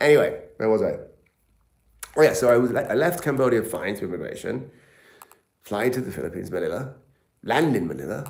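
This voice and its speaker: There is audible room echo as a man with a British accent talks at a fairly quick pace. He leaves long, frequent pauses. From England. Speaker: travel and health vlogger. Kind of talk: live stream chat. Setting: live stream. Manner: animated.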